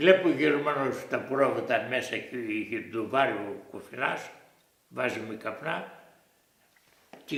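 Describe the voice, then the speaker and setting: A man talks at medium pitch and a fairly slow pace. His loudness swings widely, and audible room echo surrounds him. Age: 80s+. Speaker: war witness. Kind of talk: oral history interview. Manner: halting.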